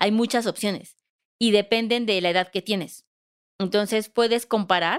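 A woman speaks at a medium pitch and moderate pace with fairly even intonation, in a plain, everyday voice. The recording is very clean, with a silent background. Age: 30s. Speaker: financial advisor, podcast co-host. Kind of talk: casual explanatory chat.

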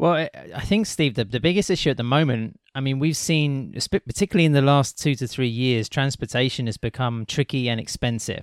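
At a fairly quick pace with hardly any pauses, an ordinary speaking voice uses lively intonation in a dry, close sound with no echo, on a very clean recording with a silent background. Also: man, medium pitch for a man. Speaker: podcast co-host. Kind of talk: casual chat.

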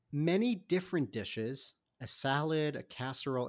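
At a moderate pace, the voice sounds animated and enthusiastic on a very clean recording with a silent background. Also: man. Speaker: podcast host. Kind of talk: casual interview. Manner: animated, enthusiastic.

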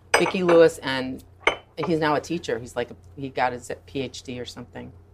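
A woman with an American accent at a moderate pace over noticeable background noise. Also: long, frequent pauses, big swings in loudness. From Michigan. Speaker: director and choreographer. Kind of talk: casual chat. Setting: restaurant.

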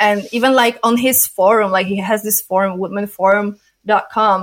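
A woman with a non-native accent speaks with hardly any pauses. Her medium-pitched voice has fairly even intonation. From Poland. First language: not English. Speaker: adult film performer and director. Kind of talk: interview.

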